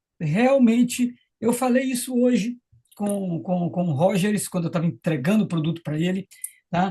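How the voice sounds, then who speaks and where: The intonation is lively. Words come at a fairly slow pace. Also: man. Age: 60s. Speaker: tennis coach sharing product testimonial. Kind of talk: testimony. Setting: live stream.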